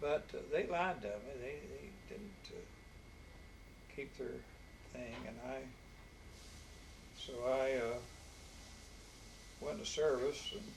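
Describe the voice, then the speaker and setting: A man with an Appalachian accent, very slow, with big swings in loudness and long, frequent pauses. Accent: Appalachian Southern US. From Harlan County, Kentucky. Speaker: war veteran. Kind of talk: interview answer.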